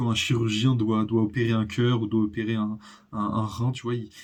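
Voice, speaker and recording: This man's voice sits at a medium pitch and is somewhat breathy. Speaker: youtuber. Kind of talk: personal vlog monologue. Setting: home recording, natural daylight. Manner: halting, many pauses.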